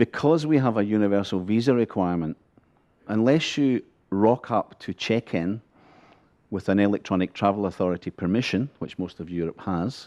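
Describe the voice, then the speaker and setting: This man has a fairly low pitch and a dark, mellow tone. He talks at a moderate pace with ordinary pitch variation over a quiet background. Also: dry, close sound with no echo. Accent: Scottish. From Scotland. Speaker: border agency official. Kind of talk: conference panel talk. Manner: humorous, conversational.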